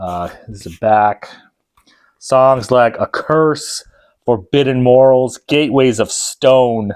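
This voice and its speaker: A man's medium-pitched voice comes through on a very clean recording with a silent background. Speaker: vinyl record collector video host. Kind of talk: casual product review. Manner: loud; casual, filler-heavy.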